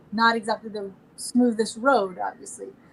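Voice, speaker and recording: A soft-spoken woman with a high voice. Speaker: opera singer and songwriter. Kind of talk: interview. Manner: animated.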